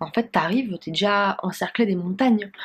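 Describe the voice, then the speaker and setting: A woman's somewhat breathy voice, fairly slow, with ordinary pitch variation. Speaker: dietitian and vlogger. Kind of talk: casual vlog. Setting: friend's home while traveling.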